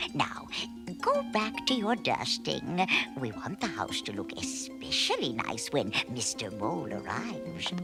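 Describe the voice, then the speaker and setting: Over loud music in the background, a cartoonish character voice speaks at a fairly slow pace. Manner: fussy, gushing, hesitant fillers.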